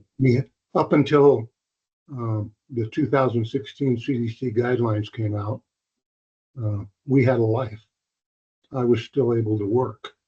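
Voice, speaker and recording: A man speaks at a fairly slow pace in a medium pitch with fairly even intonation. His voice is somewhat breathy, with a dark, mellow tone. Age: 70s. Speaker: retired civil engineer, public commenter. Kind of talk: public comment testimony.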